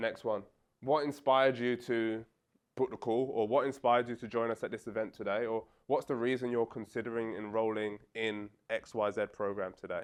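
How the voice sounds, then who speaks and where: Fairly quick, monotone, flat delivery from a man in a quiet background. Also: medium pitch for a man. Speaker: sales coach. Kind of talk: workshop teaching. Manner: stammers, with natural pauses.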